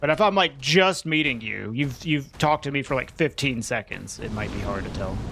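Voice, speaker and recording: A man with an animated tone at a fairly quick pace, over noticeable background noise. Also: fairly high pitch for a man, lively intonation, hardly any pauses. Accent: slight Southern US. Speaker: video game streamer. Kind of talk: live gaming stream chat.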